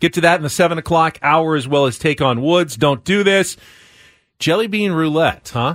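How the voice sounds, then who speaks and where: Recorded very cleanly against a silent background, a man with a fairly high pitch speaks in a plain, everyday voice at a moderate pace with ordinary pitch variation. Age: 40s. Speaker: sports radio host. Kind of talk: sports talk radio.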